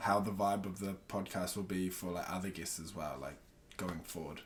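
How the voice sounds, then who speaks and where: The speech moves at a moderate pace. It comes in a New Zealand accent. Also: man. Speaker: podcast host. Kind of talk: casual interview chat.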